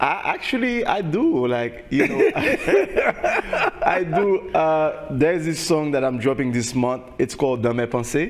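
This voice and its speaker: A man speaks with hardly any pauses over noticeable background noise. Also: fairly slow pace. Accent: Haitian. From Haiti. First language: Haitian Creole. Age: young. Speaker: singer. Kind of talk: interview. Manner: halting, many repetitions.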